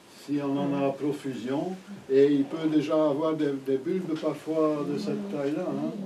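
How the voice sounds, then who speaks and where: With noticeable background noise and audible room echo, a man speaks at a fairly slow pace in a fairly high pitch with fairly even intonation. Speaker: gardening teacher. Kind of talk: lecture. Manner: halting.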